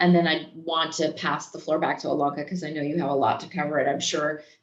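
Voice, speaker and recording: Amid noticeable background noise and audible room echo, a woman with an American accent speaks at a fairly quick pace in a very deep, low pitch with monotone, flat intonation. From United States. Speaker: think tank director, selection committee member. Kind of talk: prepared remarks at online info session. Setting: video call.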